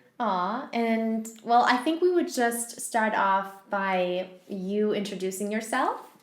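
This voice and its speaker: In a room with audible echo, a woman talks at a very slow pace with hardly any pauses, her fairly high pitch carried by lively intonation. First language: not English. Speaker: podcast host. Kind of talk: interview.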